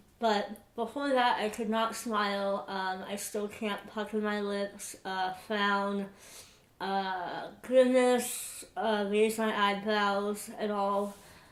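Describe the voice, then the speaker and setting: A woman speaks very slowly at a medium pitch, with monotone, flat intonation. Room echo is audible. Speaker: vlogger. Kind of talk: personal vlog update. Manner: hesitant, many fillers.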